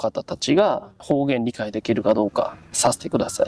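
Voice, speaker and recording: A man talks at a moderate pace, his sound dry and close with no echo. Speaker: Japanese language teaching host. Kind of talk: interview questions to guests.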